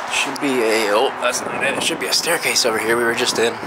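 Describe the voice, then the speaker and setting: A man speaks at a middling pace. Heavy background noise runs throughout. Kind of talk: casual vlog chat, muttered narration. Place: factory. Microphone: phone near.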